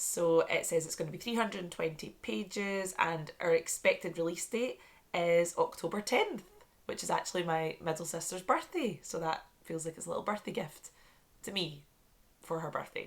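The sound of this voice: A woman talks at a fairly low pitch. Her pitch varies in an ordinary way. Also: moderate pace.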